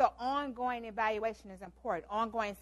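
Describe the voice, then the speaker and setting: The speaker has a normal speaking voice. Intonation stays fairly even. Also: woman. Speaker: lecturer, leadership talk presenter; teaches program evaluation.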